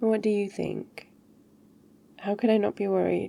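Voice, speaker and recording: Her tone dark and mellow, a woman talks at a moderate pace. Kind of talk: ASMR girlfriend roleplay. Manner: soft-spoken, caring.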